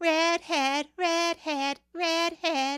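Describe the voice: A woman's put-on character voice, extremely high, squeaky and creaky, with monotone, flat intonation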